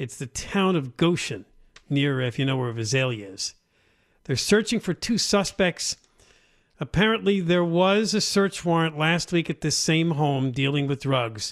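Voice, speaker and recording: Fairly high male voice, an ordinary speaking voice, at a fairly slow pace with lively intonation, on a very clean recording with a silent background. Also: dry, close sound with no echo. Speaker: talk radio co-host. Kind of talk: talk radio chat. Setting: radio studio.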